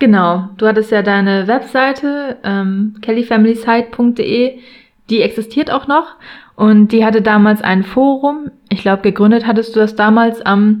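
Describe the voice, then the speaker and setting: This woman's voice is fairly high in pitch, with fairly even intonation at a fairly slow pace. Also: very even loudness. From northern Germany, near Hamburg (Buxtehude). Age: 30s. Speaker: fan podcast co-host. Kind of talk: casual chat.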